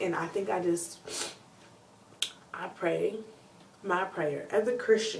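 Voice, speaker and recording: Noticeable background noise runs behind a woman. She speaks at a fairly low pitch with ordinary pitch variation. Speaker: video blogger. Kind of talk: casual talk to camera. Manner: fast.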